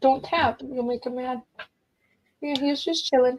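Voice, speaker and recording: A squeaky, high-pitched woman's voice. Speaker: craft livestream host. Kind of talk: casual chat.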